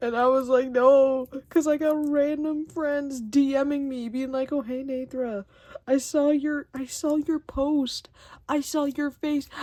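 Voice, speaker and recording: A woman's high-pitched voice with a dark, mellow tone, monotone, flat intonation and a fairly slow pace. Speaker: art vlogger. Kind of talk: casual chat. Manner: rambling, casual.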